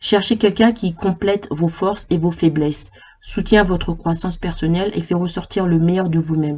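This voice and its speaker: A woman talks in a somewhat breathy voice. Her pace is moderate and her intonation fairly even. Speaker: psychology YouTuber. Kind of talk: informal explainer video. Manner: halting, many repetitions and fillers.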